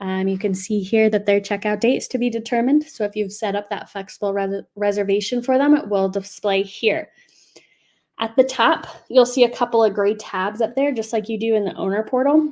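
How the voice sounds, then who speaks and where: A woman with a fairly high voice talks at a fairly quick pace, her pitch varying in an ordinary way. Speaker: software support staff presenting webinar. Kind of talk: webinar product demo. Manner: fast; many filler words.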